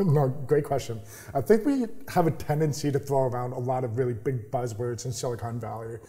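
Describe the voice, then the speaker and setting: Somewhat breathy and dark, mellow in tone, a man speaks at a fairly quick pace with ordinary pitch variation. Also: medium pitch for a man. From New York. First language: sign language. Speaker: startup accelerator founder. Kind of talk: interview. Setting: incubator office.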